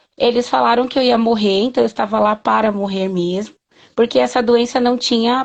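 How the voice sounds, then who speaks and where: This is an unremarkable speaking voice at a moderate pace, with fairly even intonation. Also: woman. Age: 30s. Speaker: patient advocate and mother. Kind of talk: interview.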